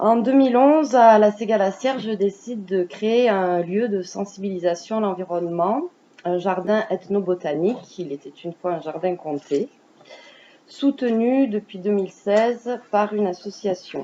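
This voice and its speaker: Ordinary pitch variation in a woman's medium-pitched voice. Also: fairly slow pace. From France, Cantal. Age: 20s. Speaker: parliamentary candidate. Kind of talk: campaign presentation. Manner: hesitant.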